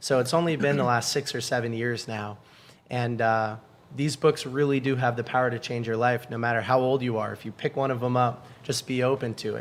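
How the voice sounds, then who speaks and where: A man with an American accent has an ordinary speaking voice at medium pitch. He speaks at a fairly quick pace with fairly even intonation. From New England, Boston area. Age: 20s. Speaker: book community founder. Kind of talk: podcast interview.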